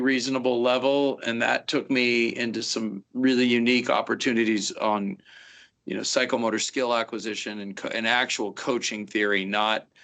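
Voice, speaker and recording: With a Pacific Northwest accent, a man talks at a medium pitch with fairly even intonation. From US Pacific Northwest, Seattle. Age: 50s. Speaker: fire officer, instructor. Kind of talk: interview.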